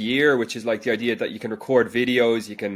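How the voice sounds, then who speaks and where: Speaking fairly quickly, a man with a Dublin accent talks at a medium pitch. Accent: Dublin Irish. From Ireland, Dublin. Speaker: education company founder, former science teacher. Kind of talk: interview answers. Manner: hesitant with repetitions.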